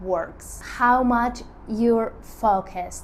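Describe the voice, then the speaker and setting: Behind this woman's voice, there is clearly audible background noise. Her delivery is very slow, and her pitch rises and falls in an ordinary way. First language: not English. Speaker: artist and lifestyle vlogger. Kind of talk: casual talk to camera. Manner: halting, with many fillers.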